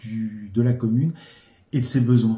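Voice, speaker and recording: The voice has a dark, mellow tone and sounds somewhat breathy. Its pace is fairly slow. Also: man. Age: 60s. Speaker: local election candidate. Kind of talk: interview. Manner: hesitant, frequent filler sounds.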